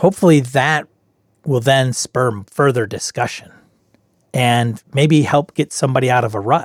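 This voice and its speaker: A man talks at a moderate pace in a plain, everyday voice, medium in pitch with ordinary variation. The sound is dry and close, with no echo. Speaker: podcast host and game master. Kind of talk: solo podcast intro and show pitch. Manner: informal, conversational, self-deprecating.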